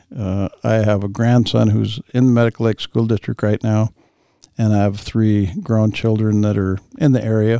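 Delivered at a moderate pace, the voice has a dark, mellow tone, monotone, flat intonation, very even loudness and a dry, close sound with no echo. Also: man, fairly low pitch for a man. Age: 60s. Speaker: retiree and school board candidate. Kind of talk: interview. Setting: studio.

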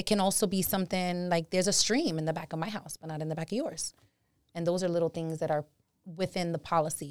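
Her fairly low voice races at a very fast pace in a New York accent, with a dry, close sound and no echo. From New York City (Bronx). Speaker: title insurance agent. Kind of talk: interview explaining her field. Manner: animated.

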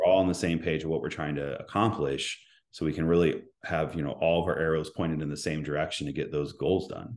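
Over a quiet background, a man with an American accent talks at a very fast pace, his very deep, low pitch held to fairly even intonation. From Indiana, Indianapolis area. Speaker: school administrator and council candidate. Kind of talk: interview.

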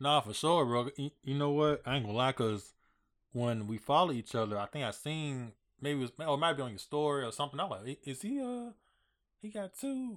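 This man has a normal speaking voice with a fairly high pitch. He talks at a fairly quick pace with lively intonation. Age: 30s. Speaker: podcast host. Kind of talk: casual interview chat. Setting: podcast studio.

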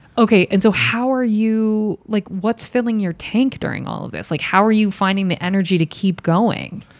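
Speaking at a moderate pace, a woman has an ordinary speaking voice. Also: medium pitch for a woman. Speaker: podcast host, actor and writer. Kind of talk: casual interview chat.

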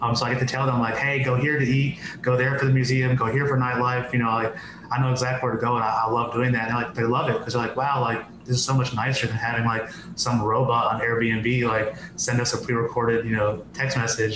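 Over noticeable background noise, a man speaks very fast at a medium pitch, his intonation monotone and flat and his loudness very even. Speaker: podcast guest; business owner. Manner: fast talker.

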